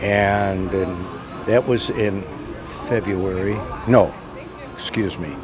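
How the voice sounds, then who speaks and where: Speaking at a very slow pace with long, frequent pauses, a man with an American accent keeps a fairly low pitch and fairly even intonation, with audible room echo and noticeable background noise. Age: 80s+. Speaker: car owner. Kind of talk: casual interview.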